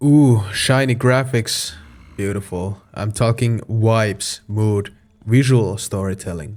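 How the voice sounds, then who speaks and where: A Finnish accent at a very slow pace, with fairly even intonation. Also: man. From Finland. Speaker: game reviewer. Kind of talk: video game review narration.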